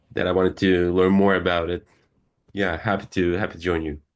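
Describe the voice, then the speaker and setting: A man with a Turkish accent and a very deep, low pitch talks at a moderate pace in a monotone, flat intonation against a quiet background. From Turkey. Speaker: student. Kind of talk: self-introduction in online class.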